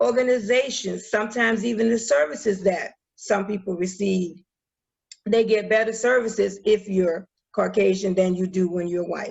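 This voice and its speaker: There's an unremarkable speaking voice from this woman, moving at a moderate pace with ordinary pitch variation. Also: medium pitch for a woman. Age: 60s. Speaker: minister and educator, presenter. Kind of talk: presentation to online community group.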